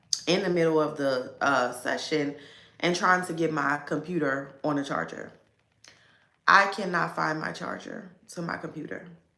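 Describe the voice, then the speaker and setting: At a moderate pace, a woman speaks at a very deep, low pitch with ordinary pitch variation, and audible room echo surrounds her. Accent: American. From Baltimore, US. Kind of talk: casual livestream talk. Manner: filler-heavy, conversational.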